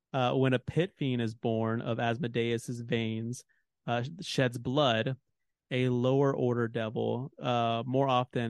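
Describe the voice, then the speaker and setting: A man at medium pitch, very slow pace and fairly even intonation. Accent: American. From Texas. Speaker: podcast host. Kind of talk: casual chat. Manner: halting.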